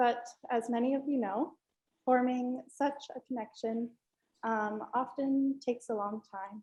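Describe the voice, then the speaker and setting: Soft-spoken and very slow, a woman with an American accent talks in a high-pitched voice with a dark, mellow tone. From Northern New York, US. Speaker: art student. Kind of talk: student presentation.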